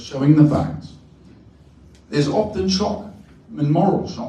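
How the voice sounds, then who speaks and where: Noticeable background noise and audible room echo surround a man speaking with an Australian accent. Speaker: professor. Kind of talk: panel discussion Q&A.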